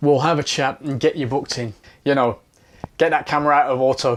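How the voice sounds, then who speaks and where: A fairly high-pitched man with ordinary pitch variation, in a Birmingham accent. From Birmingham, England. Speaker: photography teacher. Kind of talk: sales pitch. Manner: casual, upbeat.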